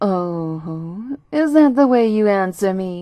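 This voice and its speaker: A woman puts on a gruff character voice at a medium pitch. She goes at a very slow pace. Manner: threatening.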